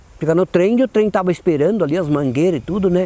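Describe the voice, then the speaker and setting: This man speaks with a high pitch. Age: 70s. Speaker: former cattle drover. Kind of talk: oral history interview. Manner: halting, repeats words.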